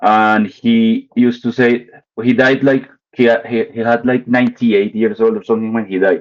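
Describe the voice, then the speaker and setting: A man with a Spanish accent speaks at a moderate pace in a medium-pitched voice, his intonation monotone and flat. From Colombia, Bogota. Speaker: artist. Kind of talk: casual chat. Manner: halting.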